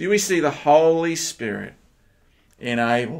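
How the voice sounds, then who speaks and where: A man speaks with lively intonation. The background is quiet. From Australia. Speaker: pastor; minister. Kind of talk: sermon. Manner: hesitant, with fillers.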